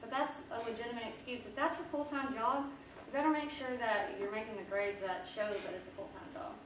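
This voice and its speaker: Speaking at a fairly quick pace with hardly any pauses, a woman uses a high pitch, lively intonation and big swings in loudness. Noticeable background noise and audible room echo are present. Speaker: social media consultant and business owner. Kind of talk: workshop presentation. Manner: fast; casual.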